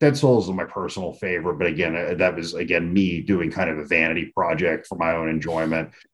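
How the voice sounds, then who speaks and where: Here a man with an American accent talks at a moderate pace, with ordinary pitch variation. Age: 40s. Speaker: comic book writer. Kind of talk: casual interview.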